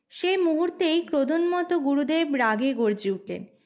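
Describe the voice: Lively intonation carries a slightly mellow tone. The recording is very clean, with a silent background. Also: woman, high pitch for a woman, moderate pace.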